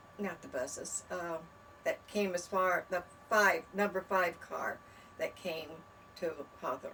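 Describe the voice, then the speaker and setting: A woman speaks at a fairly slow pace, leaving long, frequent pauses, with music playing in the background. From US West, southern California (Lawndale). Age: 80s+. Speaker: local resident sharing memories. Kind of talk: oral history interview. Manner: halting, many fillers.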